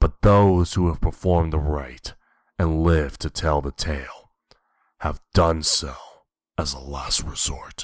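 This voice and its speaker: A man uses a put-on character voice with a very deep, low pitch, speaking at a fairly slow pace with long, frequent pauses on a very clean recording with a silent background. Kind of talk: horror narration. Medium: read story. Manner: measured, grave.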